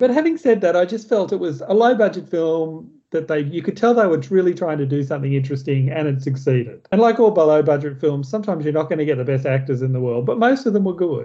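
Talking at a very fast pace with hardly any pauses, a man with an Australian accent uses a fairly high pitch and lively intonation. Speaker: film review podcast host. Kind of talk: casual chat.

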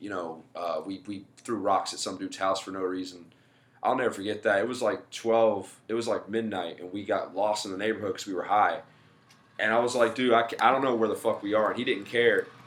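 In an American accent, a man with a normal speaking voice talks at a fairly quick pace, medium in pitch with fairly even intonation. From US South. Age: 20s. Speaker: stand-up comedian. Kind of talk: casual chat.

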